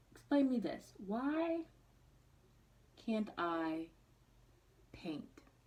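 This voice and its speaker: A woman with a fairly high, somewhat breathy voice speaks at a very slow pace, her pitch swinging very widely between long, frequent pauses. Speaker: beauty vlogger. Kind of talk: makeup tutorial. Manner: casual, chatty.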